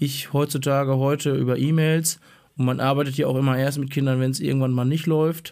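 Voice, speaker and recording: A man with a fairly high pitch, monotone, flat intonation and very even loudness. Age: 30s. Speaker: teacher. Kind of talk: casual chat.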